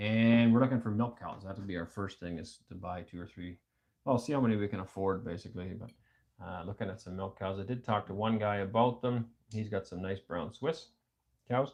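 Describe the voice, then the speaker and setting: Over a quiet background, a man with a Canadian accent talks at a fairly quick pace in a fairly low voice, with ordinary pitch variation and big swings in loudness. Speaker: homesteading livestream host. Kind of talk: casual chat. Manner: fast.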